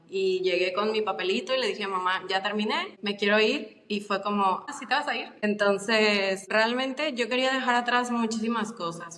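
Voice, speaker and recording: Speaking at a moderate pace, a woman with a medium-pitched voice and ordinary pitch variation is heard through noticeable background noise. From Mexico, Guadalajara. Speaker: podcast guest. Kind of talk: casual interview chat.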